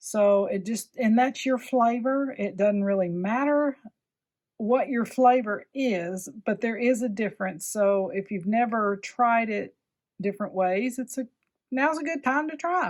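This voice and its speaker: The woman's voice is fairly high. She talks at a fairly slow pace with ordinary pitch variation. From US South. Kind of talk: tutorial. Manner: casual, chatty with fillers; enthusiastic.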